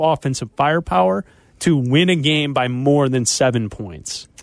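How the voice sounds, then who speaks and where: An ordinary speaking voice from a man, with lively intonation at a moderate pace and a dry, close sound with no echo. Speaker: radio sports host. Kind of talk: radio DJ patter: brisk sports-radio host banter, ad reads and caller handoffs.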